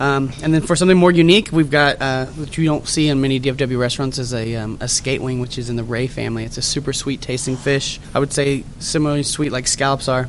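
A man at a medium pitch and a very fast pace with hardly any pauses, over noticeable background noise. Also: fairly even intonation. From Dallas-Fort Worth area, Texas. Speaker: chef. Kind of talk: interview. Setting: restaurant lobby.

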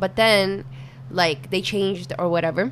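A woman speaks fairly slowly at a fairly low pitch, with noticeable background noise behind her. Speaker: podcast guest.

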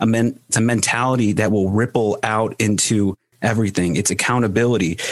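A man speaks at a moderate pace and medium pitch with ordinary pitch variation. It is a plain, everyday voice. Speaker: podcast host. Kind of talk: casual interview chat. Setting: video call.

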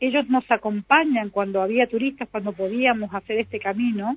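At a moderate pace and with ordinary pitch variation, the clip presents an ordinary speaking voice. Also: woman. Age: 60s. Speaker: local culture director. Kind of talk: radio interview.

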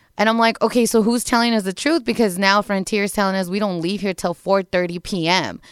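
A plain, everyday voice from a woman at a medium pitch, fairly quick in pace, with ordinary pitch variation. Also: dry, close sound with no echo. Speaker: radio show producer. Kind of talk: casual chat.

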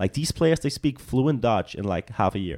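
With a Danish accent, a man talks at a moderate pace and ordinary pitch variation. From Denmark. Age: 20s. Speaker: soccer player and model. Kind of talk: casual chat.

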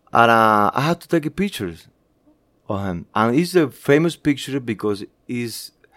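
Lively intonation and a moderate pace mark this speech in a Spanish accent. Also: man. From Cuba. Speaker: graphic designer and photographer. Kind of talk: interview. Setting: office. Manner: halting.

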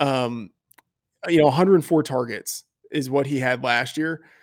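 A man talks with fairly even intonation. His voice sits at a medium pitch. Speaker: fantasy football analyst. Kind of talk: casual podcast interview. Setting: video call. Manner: hesitant, filler-heavy.

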